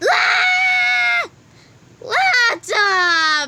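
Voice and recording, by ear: A woman shouts in a put-on character voice, bright and sharp in tone, at an extremely high pitch with big pitch swings and a very slow pace.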